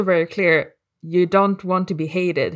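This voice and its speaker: This woman has a non-native accent. Her pitch is medium. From Sweden. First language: Swedish. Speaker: podcast co-host. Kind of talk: casual chat.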